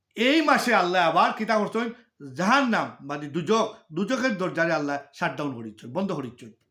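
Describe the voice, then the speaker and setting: A man's high, bright, sharp voice with very wide pitch swings. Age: 50s. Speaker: religious speaker. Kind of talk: religious talk to viewers.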